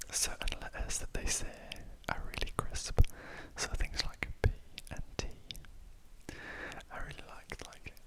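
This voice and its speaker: A man whispering, with big swings in loudness, long, frequent pauses, and noticeable background noise. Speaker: ASMR creator. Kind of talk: ASMR whispered ramble. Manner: whispered; soft-spoken.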